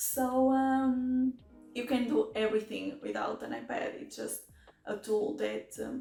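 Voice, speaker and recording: This is a woman speaking. She has a strong non-native accent. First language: not English. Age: 20s. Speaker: mechanical engineering master's student. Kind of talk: casual talk to camera. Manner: hesitant.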